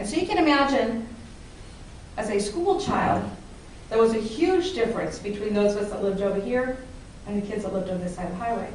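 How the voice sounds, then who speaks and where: An animated woman with an American accent and a fairly high voice talks at a fairly quick pace with lively intonation and long, frequent pauses, amid noticeable background noise and audible room echo. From Dayton, Ohio, of Appalachian Kentucky family. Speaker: public speaking club member. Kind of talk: prepared speech to a club audience. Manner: conversational, animated.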